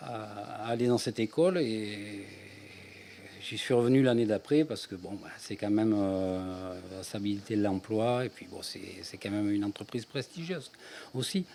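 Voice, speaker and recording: A man's fairly low voice has a dark, mellow tone, with big swings in loudness. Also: ordinary pitch variation, moderate pace. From France, Ardèche. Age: 60s. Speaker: author, retired energy worker. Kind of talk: interview. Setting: radio. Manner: halting.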